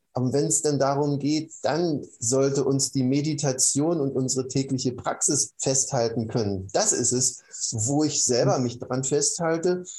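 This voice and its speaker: A man talks at a fairly slow pace with hardly any pauses, his tone dark and mellow and somewhat breathy. His pitch is fairly high with ordinary pitch variation, and his loudness stays very even. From East Germany. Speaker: meditation teacher and former engineer. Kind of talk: interview.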